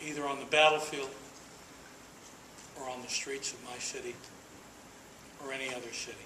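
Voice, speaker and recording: With an American accent and a fairly high pitch, a man speaks in a monotone, flat way at a fairly quick pace, with long, frequent pauses, audible room echo, and noticeable background noise. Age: 60s. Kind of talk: speech to an audience. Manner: emphatic, repetitive rhetorical delivery.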